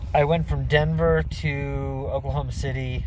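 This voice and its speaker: The sound is dry with no echo, with light background noise underneath. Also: man. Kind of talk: casual vlog chat. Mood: mildly disappointed. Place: car. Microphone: phone near.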